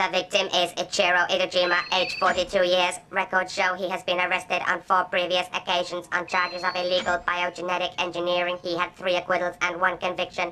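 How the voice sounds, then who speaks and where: This female-sounding voice is a put-on character voice at a medium pitch for a woman. It moves at a fairly quick pace with monotone, flat intonation. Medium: fan dub. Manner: flat, precise, formal.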